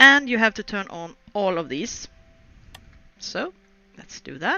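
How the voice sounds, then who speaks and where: This woman talks at a fairly slow pace with a non-native accent. Her intonation is lively, and music plays in the background. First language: not English. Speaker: video game streamer. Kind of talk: let's play commentary with reading aloud. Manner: halting.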